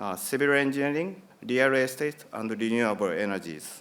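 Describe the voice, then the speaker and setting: With a Japanese accent, a man speaks in a fairly high pitch. His intonation is lively. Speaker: company executive. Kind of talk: conference presentation. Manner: halting.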